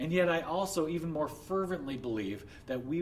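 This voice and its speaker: A fairly high-pitched man with lively intonation, music in the background. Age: 30s. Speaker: pastor. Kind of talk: sermon.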